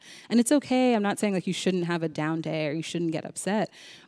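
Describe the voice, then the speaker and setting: A woman's medium-pitched, normal speaking voice with lively intonation, in a very clean recording with a silent background, dry and close with no echo. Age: 30s. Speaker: public health executive. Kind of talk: casual chat.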